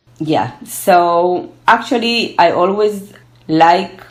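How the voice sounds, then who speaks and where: A woman speaks at a medium pitch with a Spanish accent. Room echo is audible. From Argentina, then Israel from age twelve. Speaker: gerontology researcher. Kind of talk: interview. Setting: online call from home.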